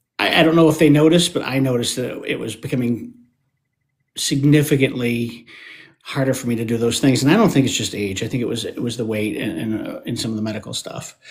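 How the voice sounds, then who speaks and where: A man rattles along at a very fast pace, his medium-pitched voice showing ordinary pitch variation. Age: 50s. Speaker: interview guest sharing health story. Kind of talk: casual interview conversation. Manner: halting, many repetitions.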